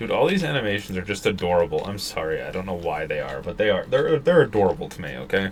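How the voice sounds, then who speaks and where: Against noticeable background noise, a man rushes along at a very fast pace with hardly any pauses. His loudness swings widely. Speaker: gaming streamer. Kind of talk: gameplay commentary. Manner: halting.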